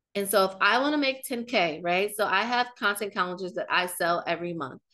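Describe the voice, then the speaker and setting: A woman with an American accent talks at a fairly quick pace and a medium pitch. Her tone is bright, sharp and animated, with lively intonation. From US Midwest, Kansas City, Missouri. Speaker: marketing strategist and business coach. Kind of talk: webinar presentation. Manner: fast.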